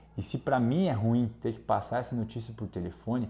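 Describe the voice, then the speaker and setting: A man with a medium pitch and a dark, mellow tone speaks somewhat breathily at a fairly quick pace. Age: 30s. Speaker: intensive care doctor. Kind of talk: interview testimony.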